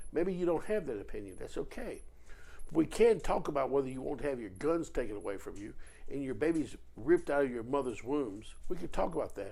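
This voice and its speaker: This man's tone is animated, and he moves along at a fairly quick pace. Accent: Virginia. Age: 60s. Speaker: political commentator. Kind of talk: political monologue video.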